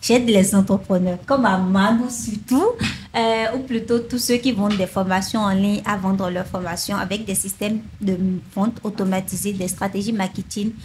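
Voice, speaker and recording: A woman speaks at a moderate pace with a medium pitch, fairly even intonation and a somewhat breathy quality. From Benin. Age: 20s. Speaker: sales funnel consultant and online trainer. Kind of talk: interview.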